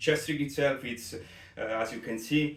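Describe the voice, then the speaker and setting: A man with an Italian accent speaks at a moderate pace and fairly even intonation, with noticeable background noise and audible room echo. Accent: Italian accent, non-native English. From Italy. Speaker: competitive shooter, gear reviewer. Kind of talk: product review. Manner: halting, many fillers.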